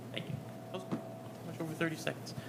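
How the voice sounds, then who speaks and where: There is noticeable background noise here. Over it, a man speaks. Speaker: school board president. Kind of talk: public meeting.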